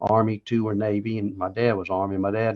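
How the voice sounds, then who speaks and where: The speaker has a North Carolina accent and a moderate pace. The intonation stays fairly even. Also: man. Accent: Southern US (North Carolina). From US South, Charlotte, North Carolina. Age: 70s. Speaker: war veteran. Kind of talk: interview.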